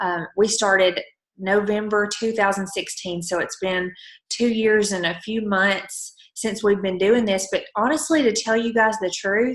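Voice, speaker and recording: The speaker has a strong Southern US accent and talks at a fairly slow pace. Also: woman, medium pitch for a woman, fairly even intonation. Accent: thick Southern US. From Alabama. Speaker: network marketing promoter. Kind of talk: motivational team call.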